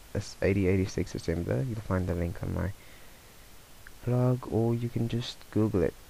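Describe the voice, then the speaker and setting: This soft-spoken man has a fairly low pitch and ordinary pitch variation. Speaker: tech tutorial youtuber. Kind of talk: screencast tutorial. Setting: at home late at night. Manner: casual.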